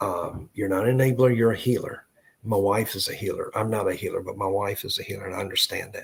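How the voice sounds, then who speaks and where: A man speaks very fast in a Southern accent. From US South, Tennessee (Memphis). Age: 60s. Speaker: psychic medium. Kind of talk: live psychic reading. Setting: live online stream. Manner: halting.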